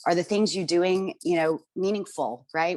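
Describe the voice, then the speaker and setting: A woman with an American accent speaks at a fairly quick pace with ordinary pitch variation. Hers is an ordinary speaking voice. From New York. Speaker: panel speaker. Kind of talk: panel discussion.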